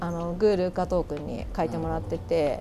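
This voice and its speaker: Through noticeable background noise, a woman can be heard speaking at a moderate pace. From Kanagawa, Japan (Yamato). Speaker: record shop manager and DJ. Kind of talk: casual interview chat. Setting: outdoors on a balcony.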